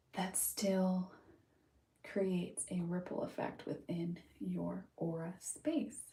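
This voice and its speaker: A soft-spoken woman with an American accent, medium pitch, a somewhat breathy, dark, mellow tone and ordinary pitch variation. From California, Huntington Beach. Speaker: livestreamer, mental health practitioner. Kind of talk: casual livestream chat.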